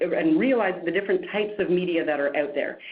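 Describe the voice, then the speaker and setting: Noticeable background noise sits behind a fairly quick delivery with lively intonation. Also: woman. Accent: strong Canadian. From Canada, Montreal. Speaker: media trainer and producer. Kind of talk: webinar presentation.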